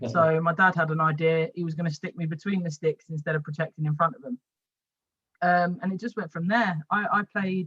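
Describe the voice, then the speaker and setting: Recorded with a dry, close sound and no echo, a woman with a London accent talks at a fairly quick pace with ordinary pitch variation. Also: fairly low pitch for a woman. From West London. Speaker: women's football goalkeeper and coach. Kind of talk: podcast interview. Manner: halting, repeats words.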